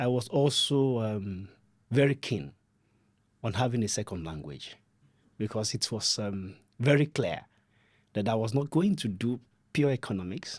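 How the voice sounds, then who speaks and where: A man with a Nigerian accent, medium pitch and lively intonation at a moderate pace, in a very clean recording with a silent background. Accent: Nigerian (Yoruba) English. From southwest Nigeria (Ibadan, Oyo State). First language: Yoruba. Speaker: development adviser, podcast guest. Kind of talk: podcast interview.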